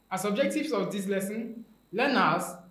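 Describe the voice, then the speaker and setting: A man speaks at a high pitch. Audible room echo surrounds his voice. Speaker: teacher. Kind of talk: lecture. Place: studio.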